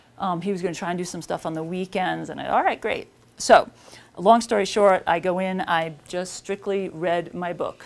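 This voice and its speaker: A woman speaks with a slight New York accent. Her medium-pitched voice keeps a fairly even intonation. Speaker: author. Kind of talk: talk at a seminar. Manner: fast.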